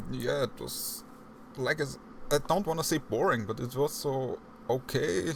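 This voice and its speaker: A man with a strong non-native accent speaks at a fairly slow pace, leaving long, frequent pauses. His intonation is lively, and vocal fry runs through his voice. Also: fairly high pitch for a man. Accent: heavy non-native English. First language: not English. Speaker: podcast host. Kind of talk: casual chat.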